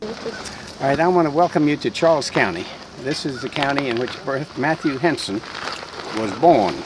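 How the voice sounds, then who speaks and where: Over noticeable background noise, a man with a fairly high pitch and lively intonation talks at a moderate pace broken by long, frequent pauses. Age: 80s+. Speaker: local historian guide. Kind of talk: guided tour talk to children.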